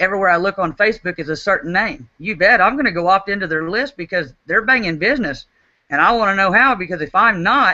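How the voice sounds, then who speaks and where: Using a medium pitch, a woman with an Oklahoma accent talks at a very fast pace with lively intonation. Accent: Oklahoma country. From Oklahoma, US. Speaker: network marketing team leader. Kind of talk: webinar talk. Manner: repetitive stammering restarts.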